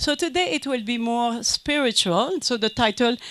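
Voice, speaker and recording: High-pitched woman's voice with a French Canadian accent and ordinary pitch variation. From Quebec, French Canada. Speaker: conference speaker, business consultant. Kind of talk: conference lecture. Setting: conference with audience. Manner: halting, many fillers.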